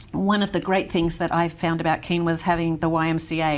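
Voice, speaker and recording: Speaking at a fairly quick pace, a woman with an Australian accent has a fairly low pitch. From Australia, Sydney. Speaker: nonprofit worker. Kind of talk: interview.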